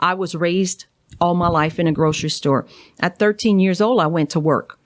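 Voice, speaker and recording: With a strong Cajun accent, a woman speaks at a fairly low pitch and very even loudness. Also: ordinary pitch variation, moderate pace. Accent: thick Cajun. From Louisiana, Cajun. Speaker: naturopathic doctor. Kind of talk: interview.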